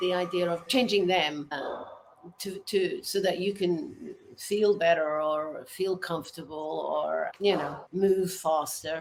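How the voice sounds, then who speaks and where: Noticeable background noise accompanies a woman who talks at a very slow pace. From Portuguese island (Azores or Madeira). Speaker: winery manager. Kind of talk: interview. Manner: halting, many fillers.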